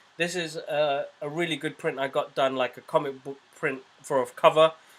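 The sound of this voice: Putting on a character voice, a man speaks hoarsely at a fairly high pitch and moderate pace, his intonation monotone and flat.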